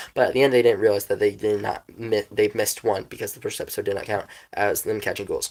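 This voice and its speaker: A man does a put-on character voice, raspy and very fast, on a very clean recording with a silent background. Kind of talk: casual, enthusiastic. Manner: talking very fast.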